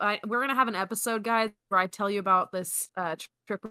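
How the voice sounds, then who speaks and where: A woman rattles along at a very fast pace, her medium-pitched voice bright and sharp in tone with ordinary pitch variation. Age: 20s. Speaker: podcast co-host, sales worker. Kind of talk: casual chat.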